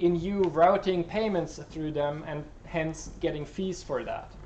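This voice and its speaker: With ordinary pitch variation, a man speaks at a high pitch. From Switzerland. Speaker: software developer. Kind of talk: talk Q&A. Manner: halting with many fillers.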